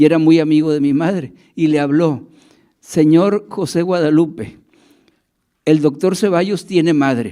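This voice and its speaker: At a moderate pace, a man talks with a dark, mellow tone and a fairly high pitch, his pitch varying in an ordinary way. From Tamaulipas, northeastern Mexico. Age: 70s. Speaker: historian and town chronicler. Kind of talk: public lecture. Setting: museum event with live audience. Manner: halting, many fillers.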